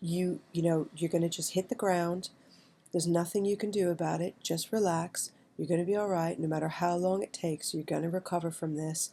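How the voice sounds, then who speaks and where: A woman speaks with a New York accent at a fairly low pitch, her tone dark and mellow. Her pace is fairly quick and her intonation fairly even. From New York City. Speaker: writer, vlogger. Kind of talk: personal storytelling monologue. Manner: conversational, halting with fillers.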